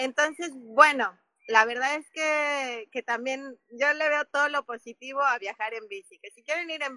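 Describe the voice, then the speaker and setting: A woman with a high pitch uses a raised, projected voice with a bright, sharp tone, ordinary pitch variation and big swings in loudness. She speaks at a fairly slow pace, and the sound is dry and close with no echo. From Mexico City. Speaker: cycling traveler. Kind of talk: interview.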